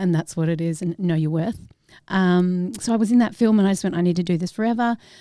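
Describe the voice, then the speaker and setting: A woman with an Australian accent, fairly low pitch, a dark, mellow tone, ordinary pitch variation and a fairly quick pace. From Australia with ten years in New Zealand. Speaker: actress. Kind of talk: casual interview chat.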